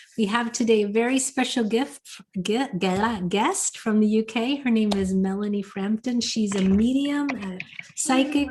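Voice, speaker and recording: A woman's fairly high voice with ordinary pitch variation, over noticeable background noise. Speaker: webinar host. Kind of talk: casual chat. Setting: video call. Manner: fast.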